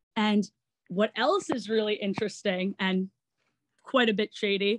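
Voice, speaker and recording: A woman's fairly high voice comes through with a dry, close sound and no echo. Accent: New York. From Long Island, New York. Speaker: actor and online entertainer. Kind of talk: interview.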